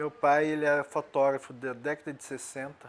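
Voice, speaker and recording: This man talks at neither a fast nor slow pace, his pitch sitting fairly high. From Minas Gerais, Brazil (Ouro Preto). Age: 50s. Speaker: photographer. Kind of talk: documentary interview.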